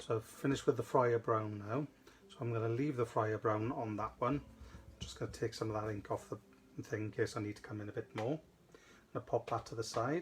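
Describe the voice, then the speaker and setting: Speaking with a Welsh accent, a man keeps a fairly quick pace at medium pitch. His voice is somewhat breathy, with fairly even intonation. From South Wales. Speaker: craft demonstrator. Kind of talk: live craft tutorial. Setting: studio livestream. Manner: casual, chatty.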